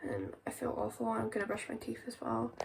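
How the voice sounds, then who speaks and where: A woman talks with a British accent. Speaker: vlogger. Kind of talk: casual vlog. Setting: in bed at home. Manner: halting, hesitant.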